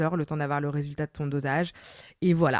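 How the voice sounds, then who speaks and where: A woman with a very deep, low pitch speaks in fairly even intonation, the sound dry and close with no echo. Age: 30s. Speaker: lawyer and podcaster. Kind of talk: interview answer, personal story. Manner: casual, conversational.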